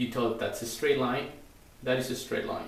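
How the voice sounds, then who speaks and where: Noticeable background noise and audible room echo behind a man's medium-pitched voice. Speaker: straight razor shaving demonstrator. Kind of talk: tutorial. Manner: halting.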